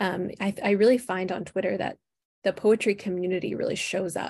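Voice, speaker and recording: A woman with an Upper Midwest accent, at a fairly quick pace. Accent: Upper Midwest American. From Minnesota, Twin Cities. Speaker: book publicist. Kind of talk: interview.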